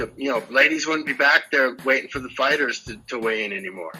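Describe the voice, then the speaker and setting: In an ordinary speaking voice, a man with a fairly high pitch talks at a fairly quick pace with lively intonation. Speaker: ring announcer, MMA. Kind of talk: casual interview answer, joking and crude. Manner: boastful, humorous.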